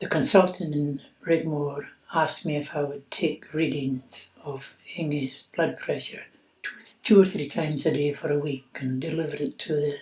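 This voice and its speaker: Here a man speaks in a Scottish Highland accent. His pitch is fairly high and his pace fairly slow. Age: 80s+. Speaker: patient's widower sharing experience. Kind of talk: personal testimony.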